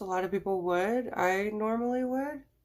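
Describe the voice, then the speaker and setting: A woman speaks with lively intonation and a fairly high pitch. It is an unremarkable speaking voice. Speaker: makeup tutorial vlogger. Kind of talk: tutorial. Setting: at home. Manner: casual, chatty.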